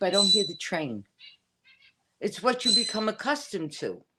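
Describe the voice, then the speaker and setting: Speaking at a moderate pace in a Bronx accent, a woman uses lively intonation. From New York City, the Bronx. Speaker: witch. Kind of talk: casual chat. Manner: halting.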